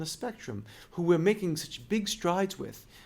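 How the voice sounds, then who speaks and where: With a slight Brooklyn accent, a man talks at a high pitch with ordinary pitch variation. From Brooklyn, New York. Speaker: music school owner. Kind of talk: interview. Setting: in person at his music school.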